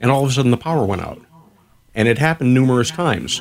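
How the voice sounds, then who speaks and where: Here is an unremarkable speaking voice, moving at a fairly quick pace with ordinary pitch variation. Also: man. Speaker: radio show co-host. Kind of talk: casual chat on radio.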